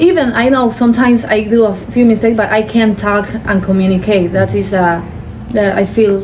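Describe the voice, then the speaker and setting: A woman with a non-native accent at a medium pitch, moderate pace and ordinary pitch variation, with noticeable background noise and audible room echo. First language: not English. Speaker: adult English learner. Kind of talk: interview. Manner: halting.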